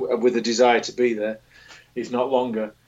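With a British accent, a man talks at a moderate pace. His voice sits at a medium pitch. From England. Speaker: boxing writer. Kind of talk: casual chat.

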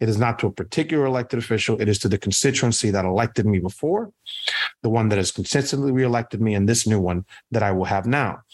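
A man with a Spanish accent talks at a very fast pace, with medium pitch, ordinary pitch variation and very even loudness. The recording is very clean, with a silent background. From Puerto Rico. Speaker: state politician. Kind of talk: interview.

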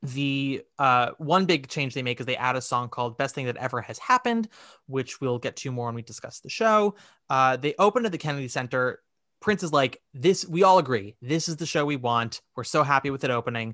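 Recorded dry and close with no echo against a quiet background, a man speaks at a fairly quick pace in a fairly high, bright, sharp voice with lively intonation. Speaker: podcast host. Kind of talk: casual chat; reading aloud. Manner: loud.

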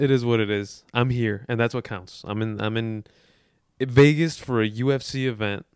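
Speaking at a moderate pace, a man has an unremarkable speaking voice. His medium pitch shows ordinary variation. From Chicago. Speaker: sports graphics designer and podcaster. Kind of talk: casual chat. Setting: in Las Vegas.

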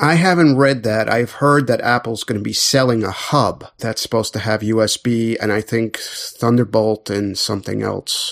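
In a plain, everyday voice, a man talks at a moderate pace with hardly any pauses, medium pitch and ordinary pitch variation. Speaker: podcast co-host. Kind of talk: casual chat.

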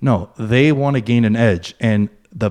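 Here a man speaks at a fairly slow pace, in a plain, everyday voice. His pitch is medium, with ordinary variation. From USA, Greek-American family. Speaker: sports betting podcaster. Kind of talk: casual chat.

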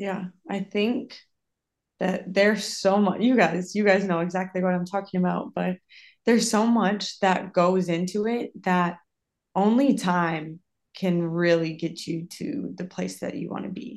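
Speaking with an American accent at a fairly slow pace, a woman uses an ordinary speaking voice with medium pitch and ordinary pitch variation over a quiet background. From Minnesota, US Midwest. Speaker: professional soccer player. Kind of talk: casual interview.

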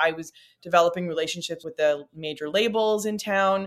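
A woman's plain, everyday voice in a Canadian accent, fairly quick in pace, with ordinary pitch variation. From Northern Ontario, Canada. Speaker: music booking agent. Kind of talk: casual interview chat.

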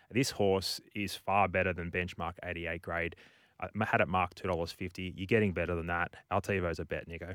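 Very deep and low, a man's voice comes through with an Australian accent. His intonation stays monotone and flat on a very clean recording with a silent background. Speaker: racing tipster, horse part-owner. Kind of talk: racing preview chat, tipping horses. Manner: casual, conversational, laid-back.

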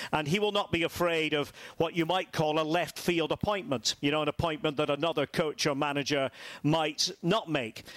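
A Scottish-accented man talks at a moderate pace with a fairly high pitch and ordinary pitch variation. His loudness stays very even, and the sound is dry and close with no echo. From Scotland, Aberdeen. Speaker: football commentator. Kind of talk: casual chat.

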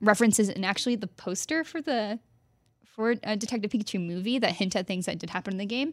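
An ordinary speaking voice from a woman with an American accent, medium pitch, ordinary pitch variation, and a fairly quick pace, on a very clean recording with a silent background. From Texas. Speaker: video game journalist. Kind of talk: casual chat.

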